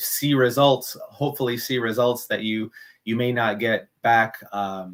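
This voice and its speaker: This man has an unremarkable speaking voice at a medium pitch, with fairly even intonation. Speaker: compost and worm farming educator. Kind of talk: live stream tutorial. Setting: live stream.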